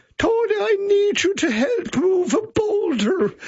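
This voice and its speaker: A man in a put-on character voice, extremely high in pitch, at a fairly slow pace. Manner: plaintive.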